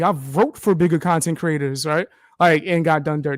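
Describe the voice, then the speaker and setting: An animated man talks with a New York accent. The recording is very clean, with a silent background. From US Northeast, New York (the Bronx). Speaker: content creator, live streamer. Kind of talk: casual interview chat.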